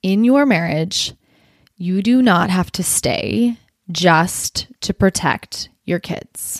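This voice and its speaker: An animated woman with very wide pitch swings, heard in a dry, close sound with no echo. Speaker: podcast host and divorce coach. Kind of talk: podcast monologue.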